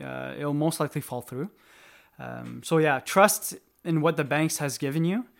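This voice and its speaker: On a very clean recording with a silent background, a man speaks at a moderate pace with big swings in loudness. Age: 20s. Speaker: real estate agent. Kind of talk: casual interview. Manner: halting.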